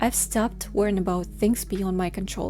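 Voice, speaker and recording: A woman with a Russian accent. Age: 20s. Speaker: vlogger. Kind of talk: personal vlog reflection.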